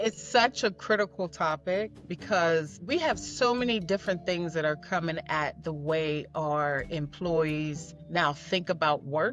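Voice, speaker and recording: A woman's fairly low voice in an American accent, lively in intonation and fairly slow with hardly any pauses, over music in the background. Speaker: leadership coach. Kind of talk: podcast interview.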